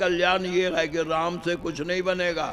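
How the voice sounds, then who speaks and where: There is noticeable background noise as a man speaks in a high pitch. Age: 80s+. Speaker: religious storyteller. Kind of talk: sermon. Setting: stage with audience.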